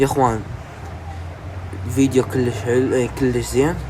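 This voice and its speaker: A man with lively intonation at a moderate pace, over noticeable background noise. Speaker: YouTuber explaining news. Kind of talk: casual news explainer. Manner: halting.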